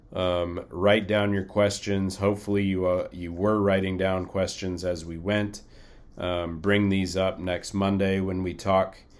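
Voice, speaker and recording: Amid audible room echo, a man speaks at a fairly slow pace in a very deep, low pitch and a monotone, flat intonation. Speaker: flight crew training instructor. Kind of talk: recorded lecture. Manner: casual, many fillers.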